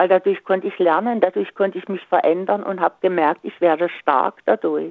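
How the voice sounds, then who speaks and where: At a moderate pace, a woman speaks with vocal fry and fairly even intonation. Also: medium pitch for a woman. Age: 70s. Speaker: radio caller. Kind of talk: radio call-in chat. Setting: phone call.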